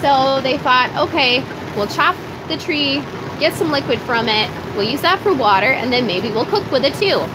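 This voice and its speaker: A woman with an American accent speaks at a high pitch and a moderate pace. Her intonation is lively, with noticeable background noise behind her. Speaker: farmer and video blogger. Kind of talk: live stream chat. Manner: loud, straining to project; casual, filler-heavy.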